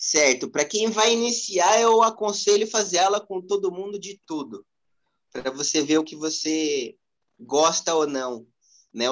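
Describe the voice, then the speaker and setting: A man speaks with lively intonation. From São Paulo, Brazil (east side, near ABC Paulista). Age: 20s. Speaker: street dancer. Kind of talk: interview.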